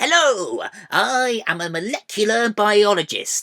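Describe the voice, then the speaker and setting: Someone performs a put-on character voice at a fairly high pitch and a fairly slow pace. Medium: read story. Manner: hesitant, rambling.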